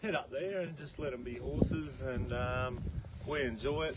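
Dry male speech with no echo, against loud background noise. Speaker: horse trainer. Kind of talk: interview answer. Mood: relaxed, easygoing. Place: farm. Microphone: camera far.

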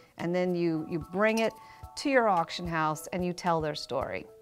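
A woman's fairly low voice in an American accent, ordinary pitch variation, faint music in the background. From United States. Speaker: auctioneer. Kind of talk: auction preview talk to camera. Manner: conversational, storytelling, with hesitations. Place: shop.

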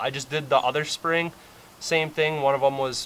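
A man's normal speaking voice at a moderate pace, fairly even in intonation, over light background noise. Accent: American. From Wisconsin. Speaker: DIY mechanic video creator. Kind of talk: tutorial. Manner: casual, filler-heavy. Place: garden.

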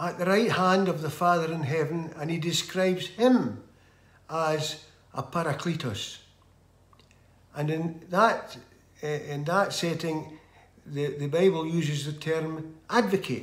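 Delivered at a fairly slow pace with long, frequent pauses and ordinary pitch variation, the speech carries audible room echo. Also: man. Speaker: lay preacher. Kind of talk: sermon. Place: home room. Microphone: phone near.

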